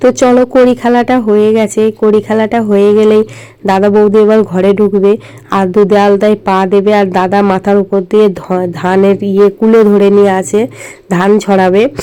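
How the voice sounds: Using a dark, mellow tone and medium pitch, a woman speaks at a moderate pace with few pauses and little pitch movement.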